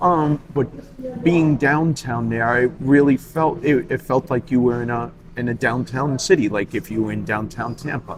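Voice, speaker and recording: Against noticeable background noise, a man with a New York accent talks at a moderate pace in a medium pitch with ordinary pitch variation. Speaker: cigar club member. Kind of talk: casual chat. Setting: cigar lounge.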